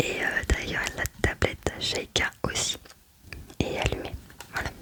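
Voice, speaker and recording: The whispered words come very slowly. Noticeable noise sits in the background. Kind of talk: casual ASMR talk to camera about a game collection.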